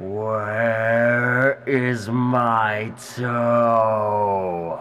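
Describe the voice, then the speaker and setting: Using a put-on character voice at a medium pitch, a man speaks with audible echo. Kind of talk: story reading. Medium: read story. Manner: groaning.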